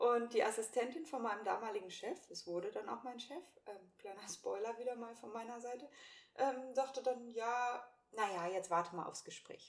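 A woman's fairly high voice, a normal speaking voice, at a moderate pace with ordinary pitch variation and big swings in loudness. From Hannover, northern Germany. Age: 30s. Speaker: podcast co-host, virtual assistant. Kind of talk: casual chat.

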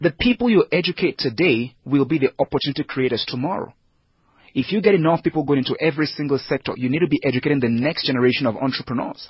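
The speaker is somewhat breathy, talking at a very fast pace with ordinary pitch variation. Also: man. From Nigeria. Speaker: head of recruitment at a leadership school. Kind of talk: radio interview.

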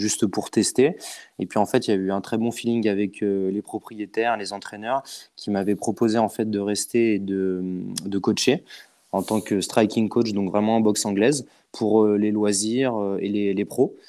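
On a very clean recording with a silent background, a man with a dark, mellow tone speaks at a fairly slow pace with fairly even intonation. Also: fairly low pitch for a man. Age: 20s. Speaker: boxer and coach. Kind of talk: casual chat.

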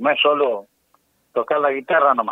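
Here a man talks with a fairly high-pitched voice. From rural Buenos Aires Province, Argentina. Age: 60s. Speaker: folk singer and farmer. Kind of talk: radio interview.

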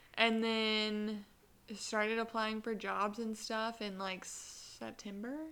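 Noticeable background noise surrounds a woman's fairly high voice. She speaks very slowly, with monotone, flat intonation. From US South, Columbia, South Carolina. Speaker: podcast co-host. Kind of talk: casual chat. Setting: studio with two mics. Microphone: new mic.

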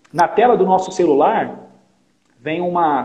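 This is a man speaking. His voice is high-pitched. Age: 30s. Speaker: agribusiness sales coordinator. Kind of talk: casual interview.

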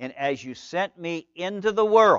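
A man with a high pitch and lively intonation speaks in a dry, close sound with no echo over a quiet background. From rural farm country. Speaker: pastor. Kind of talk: sermon. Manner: animated; repetitive stammering starts.

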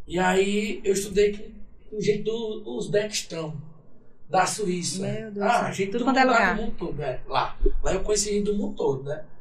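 A man's high-pitched voice at a moderate pace with ordinary pitch variation, over noticeable background noise. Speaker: sertanejo singer. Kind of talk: casual podcast interview.

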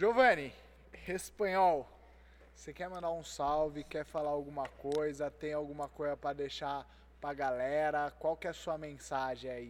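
This man has an ordinary speaking voice, fairly high in pitch, and he talks at a fairly slow pace. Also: fairly even intonation. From Itatiba, São Paulo state, Brazil. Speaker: podcast host. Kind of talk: casual chat.

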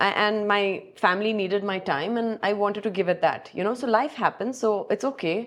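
In an ordinary speaking voice, the speaker moves at a fairly quick pace with hardly any pauses, ordinary pitch variation and a quiet background. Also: woman, medium pitch for a woman. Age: 40s. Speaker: business executive and amateur triathlete. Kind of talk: podcast interview.

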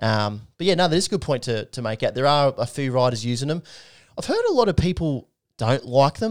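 Speaking with an Australian accent, a man uses a fairly high pitch, lively intonation and a fairly quick pace. The recording is very clean with a silent background, and the sound is dry and close with no echo. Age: 20s. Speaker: podcast host. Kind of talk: casual chat.

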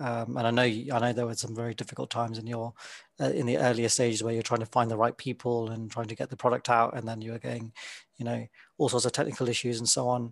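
A man's very fast, monotone, flat delivery at a medium pitch, dry and close with no echo, over a quiet background. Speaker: podcast host. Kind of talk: interview conversation.

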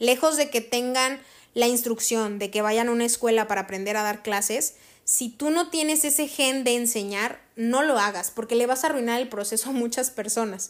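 Against a silent background on a very clean recording, a woman with an unremarkable speaking voice talks at a moderate pace, fairly high in pitch, with ordinary pitch variation. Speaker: podcast host, actress and voice actor. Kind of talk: casual solo monologue.

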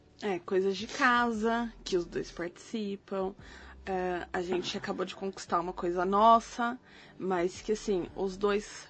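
A woman speaks at a very slow pace with fairly even intonation. Her pitch is medium. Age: 30s. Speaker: podcast co-host. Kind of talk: casual chat.

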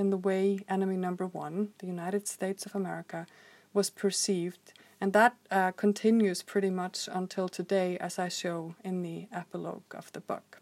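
Speaking with an Icelandic accent, a woman keeps a medium pitch and a monotone, flat intonation at a moderate pace. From Iceland, Reykjavik. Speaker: historian and author. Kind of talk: scripted narration. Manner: formal.

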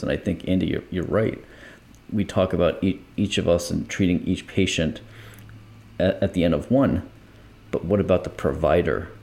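A man with a very deep, low pitch speaks in a dark, mellow tone marked by vocal fry. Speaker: podcast co-host, former EMT. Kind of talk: casual podcast conversation.

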